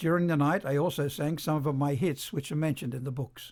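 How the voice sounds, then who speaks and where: The recording is very clean, with a silent background. A somewhat breathy man talks at a fairly quick pace and fairly high pitch, with ordinary pitch variation. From Australia. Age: 80s+. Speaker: rockabilly singer and author. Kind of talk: scripted narration.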